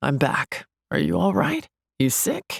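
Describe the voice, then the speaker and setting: In a put-on character voice, the speaker talks at a fairly slow pace with a raspy, gravelly sound and a low-to-middle pitch. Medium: read story. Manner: relaxed, warm.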